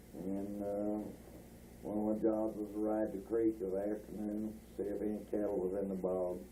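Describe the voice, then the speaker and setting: In a Texan accent, the speaker talks at a moderate pace in a dark, mellow tone with monotone, flat intonation. Audible room echo surrounds the voice. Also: man. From North Texas (Bowie area). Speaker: rancher recalling family history. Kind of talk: oral history interview. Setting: at home. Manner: halting, many filler words.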